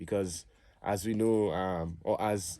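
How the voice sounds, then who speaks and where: A man with a Trinidadian accent speaks at a fairly slow pace in a fairly low pitch, his dark, mellow tone carried by fairly even intonation on a very clean recording with a silent background. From Trinidad and Tobago. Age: 30s. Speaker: musician and cultural advocate. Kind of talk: interview.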